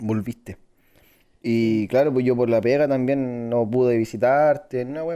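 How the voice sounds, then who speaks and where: A man speaks at a medium pitch in a dark, mellow tone. His intonation stays fairly even. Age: 20s. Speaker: emergency health worker. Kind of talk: casual chat.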